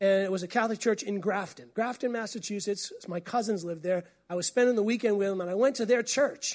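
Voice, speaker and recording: Delivered at a very fast pace with hardly any pauses, the speech has an animated tone and an American accent. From New England, US. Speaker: pastor. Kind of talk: sermon. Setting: church.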